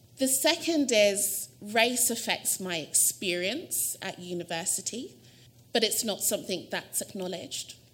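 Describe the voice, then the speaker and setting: A woman with a London accent, fairly high in pitch, lively in intonation and fairly slow in pace. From South London. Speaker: university administrator giving a lecture. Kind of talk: lecture.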